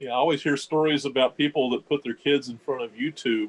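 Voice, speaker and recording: Delivered at a very fast pace with a Kentucky accent, the speech shows ordinary pitch variation. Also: man. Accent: Southern (Kentucky). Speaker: science organization representative. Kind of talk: panel discussion.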